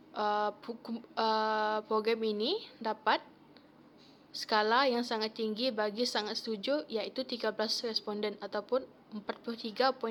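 Very slowly and with long, frequent pauses, a woman speaks at a fairly high pitch with fairly even intonation and very even loudness. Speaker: university student. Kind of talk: class presentation. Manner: halting, frequent fillers.

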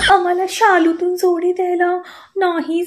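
Against a quiet background, a woman speaks at an extremely high pitch. Her intonation stays monotone and flat. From Satara, Maharashtra, India; Maharashtra, India. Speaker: social media content creator. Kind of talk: direct-to-camera comedic rant. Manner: blunt, assertive. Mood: playful, sassy. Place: home room. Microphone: phone near.

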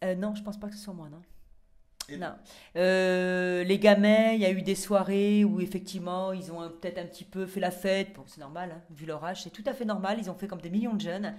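Over a quiet background, a woman speaks at a moderate pace with fairly even intonation and big swings in loudness. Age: 40s. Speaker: reality TV contestant; interview guest. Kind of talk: casual chat. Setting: in a bathtub. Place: bathroom. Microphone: handheld.

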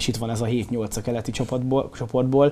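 At a fairly quick pace, a man with a dark, mellow tone keeps his intonation fairly even. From Hungary. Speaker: sports show host. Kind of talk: casual sports discussion. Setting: studio. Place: studio.

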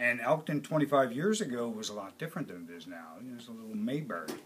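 The speech moves at a moderate pace with ordinary pitch variation. There is light background noise. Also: man. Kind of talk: interview answer. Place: shop.

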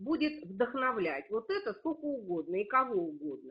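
Very wide pitch swings at a fairly slow pace. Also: woman. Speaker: astrologer and teacher. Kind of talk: partly reading prepared text. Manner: loud. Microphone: too quiet.

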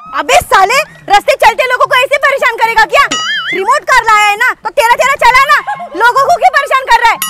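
The speech moves at a moderate pace. Music plays in the background. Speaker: comedy sketch actor. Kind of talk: scripted comedic scolding dialogue. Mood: annoyed, scolding. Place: street.

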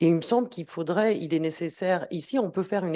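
A woman talks with a dark, mellow tone at a fairly low pitch. Her intonation is lively. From Algeria. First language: Arabic and Kabyle (speaking French). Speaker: academic researcher; speaker. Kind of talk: academic talk at round table. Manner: hesitant, many fillers. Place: meeting room. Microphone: handheld.

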